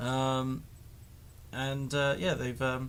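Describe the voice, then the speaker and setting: A man with a West Country accent. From Devon, England. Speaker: vlogger. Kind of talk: casual vlog monologue. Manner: halting, many fillers.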